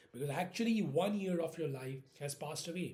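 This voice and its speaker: A very fast-talking man with an Indian accent, a fairly high pitch and ordinary pitch variation. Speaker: vlogger. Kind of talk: casual monologue. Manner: halting.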